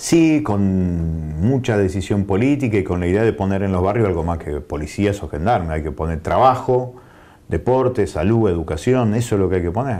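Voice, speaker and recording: A man's fairly low voice with a dark, mellow tone, lively intonation and a moderate pace. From Argentina. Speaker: provincial legislator and journalist; journalist. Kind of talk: interview. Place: studio. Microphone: lapel.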